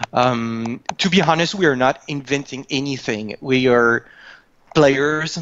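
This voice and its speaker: A man with a fairly high voice talks at a fairly slow speed. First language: not English. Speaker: video game creative director. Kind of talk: interview. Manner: halting.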